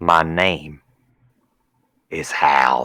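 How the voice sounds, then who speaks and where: A man puts on a character voice. It is growling and very deep, low in pitch. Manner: growling, with each word clipped.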